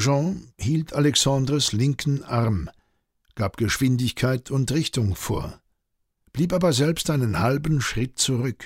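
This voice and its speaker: On a very clean recording with a silent background, a man speaks very slowly at medium pitch, somewhat breathy, with lively intonation. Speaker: audiobook narrator. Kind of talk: audiobook narration, dramatic, reading a historical novel aloud. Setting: studio. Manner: dramatic, suspenseful, tense storytelling with character voices.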